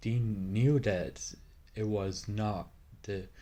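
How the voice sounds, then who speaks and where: Speaking very slowly, a man uses fairly even intonation in a breathy voice. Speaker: youtuber explaining a topic. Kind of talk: informal educational talk. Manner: halting, many fillers.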